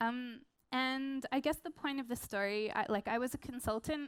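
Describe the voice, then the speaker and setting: This woman talks at a fairly quick pace with an Australian accent. Her pitch sits high, and her intonation stays fairly even. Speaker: product designer and research consultant. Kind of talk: conference talk. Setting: stage with audience.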